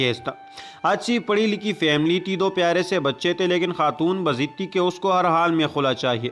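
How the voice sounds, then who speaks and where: Over music in the background, a man talks in a high pitch with ordinary pitch variation. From Pakistan. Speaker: voice over artist. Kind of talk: moral story narration.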